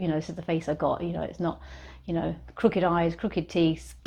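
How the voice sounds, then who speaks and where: Somewhat breathy, a woman speaks with a British accent and a dark, mellow tone. The background is quiet. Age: 60s. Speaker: lifestyle vlogger. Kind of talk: casual talk to camera. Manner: hesitant, repeats words.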